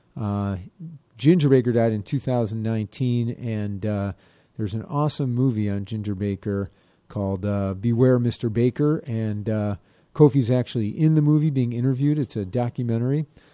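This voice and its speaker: This man has a medium pitch and a relaxed, upbeat tone, speaking at a moderate pace with ordinary pitch variation. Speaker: radio host. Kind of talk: radio DJ patter: station IDs, guest intro, sponsor read, song back-announcements. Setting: radio studio. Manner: upbeat and welcoming, enthusiastic about the guest.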